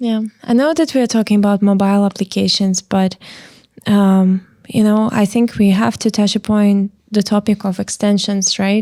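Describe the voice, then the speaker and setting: A woman with a non-native accent, a dark, mellow tone at medium pitch, a moderate pace, fairly even intonation and very even loudness, on a very clean recording with a silent background. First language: not English. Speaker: podcast interviewer. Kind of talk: interview.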